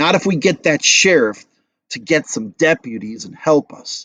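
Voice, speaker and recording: A man does a put-on character voice, raspy and fairly high-pitched, with very wide pitch swings at a moderate pace in a dry, close sound with no echo. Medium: read story. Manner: calculating, menacing.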